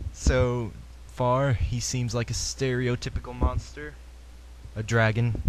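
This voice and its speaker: Noticeable background noise and a man at a very slow pace. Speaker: gaming podcaster. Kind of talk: solo podcast commentary. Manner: casual, hesitant.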